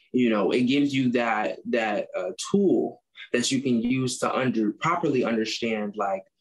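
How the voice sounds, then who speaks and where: A man with an American accent has an unremarkable speaking voice at a medium pitch. He speaks at a fairly slow pace with ordinary pitch variation. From US Midwest, Chicago. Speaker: agriculture student, club president. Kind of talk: interview. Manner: casual, many fillers.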